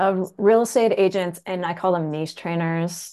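In a Canadian accent, a plain, everyday voice speaks at a fairly slow pace with fairly even intonation against a quiet background. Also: woman. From rural Canada. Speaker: real estate agent and trainer. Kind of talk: casual interview.

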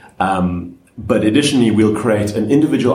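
Over noticeable background noise, a man talks at a moderate pace in a fairly low pitch with ordinary pitch variation. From South Africa, Cape Town. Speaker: DevOps engineer and conference organizer. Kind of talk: panel discussion. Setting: conference venue.

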